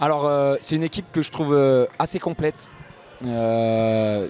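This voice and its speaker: Music plays in the background as a man talks at a fairly slow pace. His fairly high pitch shows ordinary variation. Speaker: futsal coach. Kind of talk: post-match interview. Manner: hesitant, many filler sounds.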